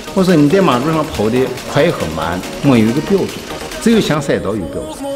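Very wide pitch swings run through this fairly quick delivery, with clear music in the background. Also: man. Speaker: car tuning shop owner. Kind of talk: interview answer. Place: garage.

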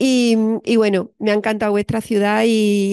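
A woman speaks in a monotone with flat intonation. The sound is dry and has no echo. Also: quiet background. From Spain, Andalusia (Cádiz); Andalusia, Spain. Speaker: psychologist and university lecturer; university lecturer. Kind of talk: lecture. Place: classroom.

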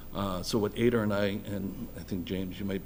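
Audible room echo around a man's fairly low voice, fairly quick in pace with fairly even intonation. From Boston area (Dorchester). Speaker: electrical engineer and school building committee volunteer. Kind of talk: public meeting presentation. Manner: halting.

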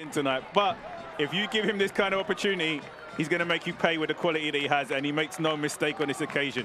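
Over noticeable background noise, a man talks very fast in a fairly high pitch with ordinary pitch variation. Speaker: football color commentator. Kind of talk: live football commentary, analytical replay breakdown. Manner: measured analytical, rising to bursts of excitement; long run-on explanatory sentences.

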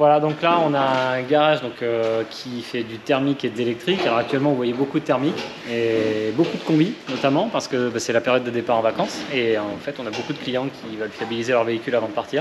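Very fast speech from a man, with ordinary pitch variation and noticeable background noise. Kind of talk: interview answer. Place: garage. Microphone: phone near.

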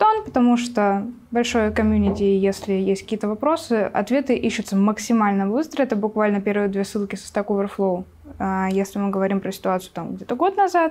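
Ordinary pitch variation at a fairly quick pace. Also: woman. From Siberia, Russia. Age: 20s. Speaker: Python developer and mentor; guest. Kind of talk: casual chat. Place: studio. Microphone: lapel.

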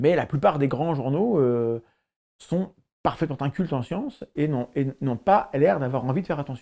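Lively in intonation, the man speaks slowly-ish at a fairly slow pace, his fairly high voice carrying a dark, mellow tone. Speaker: science YouTuber and biologist. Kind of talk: interview.

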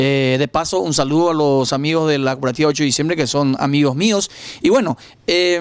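A man with an unremarkable speaking voice talks at a fairly quick pace with lively intonation, in a dry sound with no echo. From Paraguay. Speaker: local news interviewer; interviewer, program host. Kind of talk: interview. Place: home room. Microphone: handheld.

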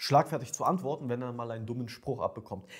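A somewhat breathy male voice. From Ukraine. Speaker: dating coach. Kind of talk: monologue to camera, coaching pitch. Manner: casual, direct.

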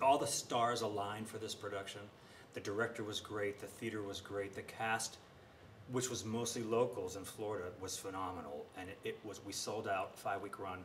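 A man with an American accent speaks at a moderate pace and fairly low pitch, in an ordinary speaking voice. His intonation is fairly even, with light background noise. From western Pennsylvania, Westmoreland County; Pennsylvania. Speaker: Broadway singer and actor; interviewee. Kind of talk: interview. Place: stage.

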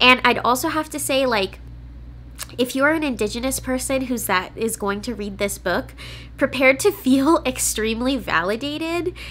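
In a Californian accent, a woman speaks at a high pitch with lively intonation. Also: moderate pace. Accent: Californian American English. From California, US. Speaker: book reviewer and YouTuber; book reviewer, YouTuber. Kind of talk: casual vlog-style book review. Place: home room.

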